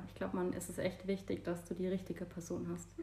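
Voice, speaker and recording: Over noticeable background noise, a woman speaks at a very fast pace with a medium pitch. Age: 40s. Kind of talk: casual chat. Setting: at home on a couch.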